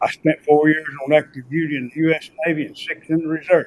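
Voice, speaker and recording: In an American accent, the speaker talks at a fairly quick pace with monotone, flat intonation. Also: man. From Jackson County, western North Carolina. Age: 80s+. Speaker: Navy veteran and retired car dealer. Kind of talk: public comment at county board meeting.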